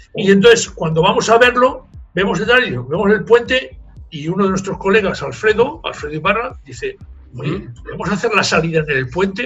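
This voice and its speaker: Over music in the background, a man with a Spanish accent speaks at a moderate pace in a high pitch with lively intonation. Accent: Spanish (Spain). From Spain (Zaragoza), raised in Toulouse, France from age 12. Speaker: marathon race director. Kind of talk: interview. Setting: remote call.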